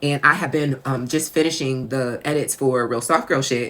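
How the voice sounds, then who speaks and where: A woman's very deep, low voice in an American accent with fairly even intonation. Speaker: author and podcaster. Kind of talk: casual monologue. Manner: conversational, with fillers.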